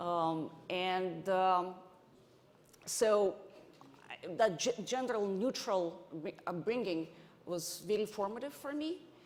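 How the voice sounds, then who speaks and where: A woman speaks at a very slow pace with long, frequent pauses. Her medium pitch shows ordinary variation, and audible room echo fills the recording. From Ukraine, Odessa. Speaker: venture investor, conference panelist. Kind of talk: panel discussion. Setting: stage with audience. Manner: halting, many restarts.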